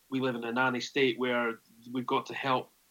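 Someone with a Scottish accent talks at a moderate pace in a bright, sharp tone. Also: man. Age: 30s. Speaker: rugby journalist. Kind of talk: casual chat.

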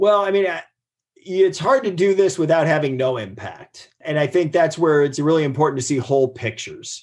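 Here is a man with an American accent and a fairly high pitch. His is an unremarkable speaking voice. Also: lively intonation, moderate pace. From US Midwest, Ohio. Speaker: marine biologist and professor. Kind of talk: interview. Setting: video call.

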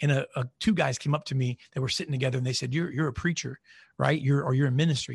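Over a quiet background, a man speaks at a very fast pace, his voice fairly high and somewhat breathy. His intonation is fairly even. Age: 40s. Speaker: marketing CEO and podcast host. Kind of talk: casual interview chat. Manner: halting, many fillers.

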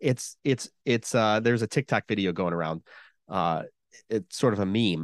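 In a plain, everyday voice, a man speaks at a moderate pace and fairly low pitch with ordinary pitch variation, the sound dry and close with no echo against a quiet background. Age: 40s. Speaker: podcast host, guest here. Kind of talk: casual chat.

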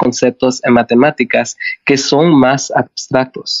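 The speech moves at a fairly slow pace with ordinary pitch variation. The sound is dry and close with no echo. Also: man. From Canada, from age six (born El Salvador). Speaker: math teacher. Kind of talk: interview. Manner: halting, with many fillers.

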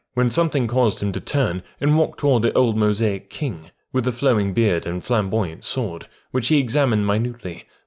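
The voice reads naturally. Its delivery is that of a natural reading voice.

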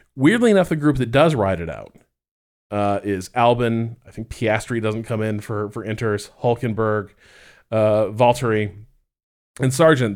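A man with an ordinary speaking voice talks at a medium pitch and a moderate pace. His pitch variation is ordinary, and the recording is very clean with a silent background. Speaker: F1 podcast co-host. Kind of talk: casual chat.

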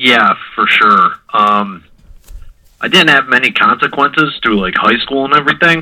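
Bright and sharp, a man's fairly high voice with an American accent moves at a moderate pace with lively intonation. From US Midwest (Mentor, Ohio). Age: 20s. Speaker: person in addiction recovery. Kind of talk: casual interview about recovery.

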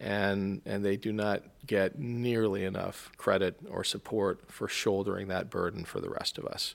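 At a moderate pace with hardly any pauses, a man speaks in a fairly low pitch with monotone, flat intonation. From military family, grew up mostly in Europe. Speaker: congressional candidate, navy veteran. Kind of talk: interview. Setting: studio at a public library.

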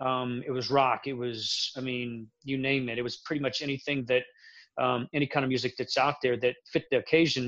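A man talks with an American accent at medium pitch. His intonation is monotone and flat. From Central Florida. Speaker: military veteran and film project guest. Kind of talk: casual chat.

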